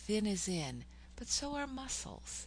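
Audible room echo surrounds a woman speaking at a fairly slow pace. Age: 60s. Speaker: poet and psychotherapist podcaster. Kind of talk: podcast monologue with poetry reading.

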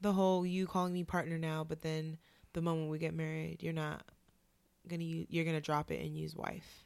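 A woman with an American accent talks at a fairly quick pace in a very deep, low voice. Her intonation is monotone and flat, and the recording is very clean over a silent background. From Oakland, California. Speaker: podcast co-host, social worker. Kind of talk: casual chat.

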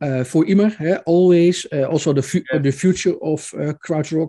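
A voice with a dark, mellow tone and a Dutch accent uses ordinary pitch variation against a quiet background. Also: man. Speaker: podcast host, music journalist. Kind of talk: interview. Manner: halting.

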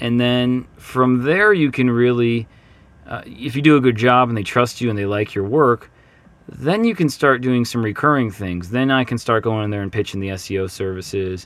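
A man talks at a moderate pace in an upbeat tone. His pitch is medium, with ordinary variation. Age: 30s. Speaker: podcast host, marketing consultant. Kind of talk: casual solo podcast monologue. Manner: filler-heavy, hesitant.

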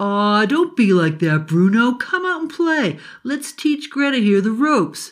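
A put-on character voice at a fairly high pitch, with very wide pitch swings, against a quiet background. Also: female-sounding voice, moderate pace. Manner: cocky, excitable.

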